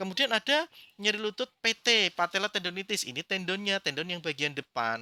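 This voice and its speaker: A man with a Central Java accent projects a raised, high, bright and sharp voice at a fairly quick pace, with very wide pitch swings and a dry, close sound with no echo. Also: very clean recording, silent background. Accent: Brebes ngapak Javanese. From Indonesia, Brebes (Central Java). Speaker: acupuncture teacher. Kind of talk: lecture. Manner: halting, with fillers.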